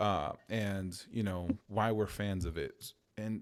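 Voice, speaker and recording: Heard on a very clean recording with a silent background, a man with an American accent speaks in a normal speaking voice at a fairly low pitch with ordinary pitch variation. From Chicago. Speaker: podcast host. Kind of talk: casual chat.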